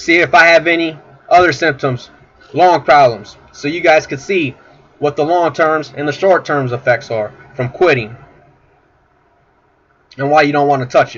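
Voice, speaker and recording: A fairly high-pitched man's voice at a moderate pace, with ordinary pitch variation and long, frequent pauses. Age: 20s. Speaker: recovering addict. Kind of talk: personal testimony to camera.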